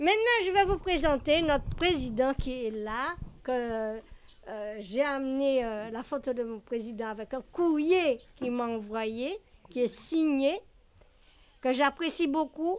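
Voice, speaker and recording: A high-pitched woman speaks at a very slow pace. Her intonation is lively. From Paris, France (left Guadeloupe very young). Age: 70s. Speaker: landlady. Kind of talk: interview testimony. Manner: halting, many hesitations.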